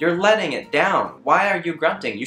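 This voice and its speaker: A man's voice with audible room echo and faint music in the background. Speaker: comedy vlogger. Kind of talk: comedic rant vlog. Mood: exasperated, sarcastic. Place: home room. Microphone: camera far.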